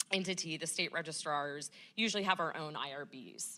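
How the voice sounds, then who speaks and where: Loud and bright with a sharp tone, a woman speaks at a moderate pace with ordinary pitch variation in a very clean recording with a silent background. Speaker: state vital records registrar. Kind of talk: panel discussion.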